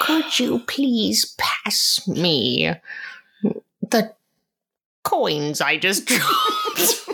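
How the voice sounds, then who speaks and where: This is a put-on character voice at a very slow pace. Long pauses come often. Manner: troll-like.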